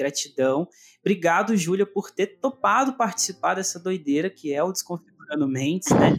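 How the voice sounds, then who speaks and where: Dry and close with no echo, a man's high-pitched voice moves at a moderate pace with lively intonation. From interior of Minas Gerais, Brazil. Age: 20s. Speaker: podcast host. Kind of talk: casual chat.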